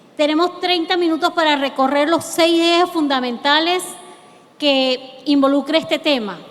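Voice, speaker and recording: The voice moves at a fairly slow pace with ordinary pitch variation, against noticeable background noise. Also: woman, high pitch for a woman. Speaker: lawyer. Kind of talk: lecture.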